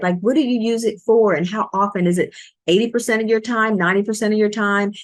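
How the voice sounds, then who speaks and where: A woman's unremarkable speaking voice, fairly high in pitch, with lively intonation at a fairly quick pace. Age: 60s. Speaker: podcast co-host, business owner. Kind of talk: casual chat.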